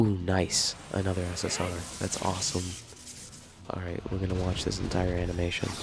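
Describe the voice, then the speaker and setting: A man speaks at a fairly quick pace with a very deep, low pitch and a monotone, flat intonation, leaving long, frequent pauses. Music plays in the background, and the room has an audible echo. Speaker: gaming youtuber. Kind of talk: gameplay commentary. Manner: casual.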